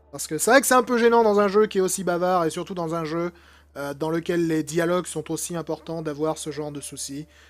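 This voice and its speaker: Fairly quick speech from a man, high-pitched, with ordinary pitch variation. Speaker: gaming YouTuber. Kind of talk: let's play commentary. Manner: casual, hesitant with many fillers.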